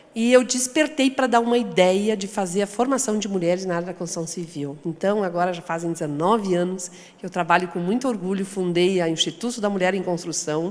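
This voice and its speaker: The pace is fairly quick with hardly any pauses. Pitch variation is ordinary. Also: woman, medium pitch for a woman. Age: 60s. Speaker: founder of women's construction training institute. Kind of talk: panel discussion.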